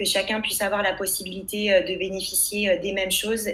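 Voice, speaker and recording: Audible room echo surrounds a voice that moves at a moderate pace in a monotone, flat intonation. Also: woman. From France, Loire region countryside (Châteaudun). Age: 20s. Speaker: labour lawyer and career coach. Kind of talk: interview testimony. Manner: hesitant, many fillers.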